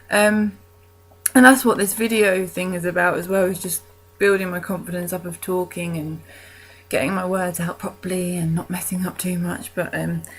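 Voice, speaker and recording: With fairly even intonation, a woman talks at a moderate pace and a medium pitch. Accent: British. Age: 20s. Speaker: vlogger. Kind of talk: casual vlog monologue. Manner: hesitant, many ums.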